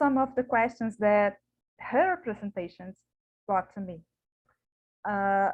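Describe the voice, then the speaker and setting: The speaker talks at a very slow pace with long, frequent pauses. Pitch varies in an ordinary way. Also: woman, medium pitch for a woman. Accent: Portuguese. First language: Portuguese. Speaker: academic researcher. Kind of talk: conference paper presentation. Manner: halting.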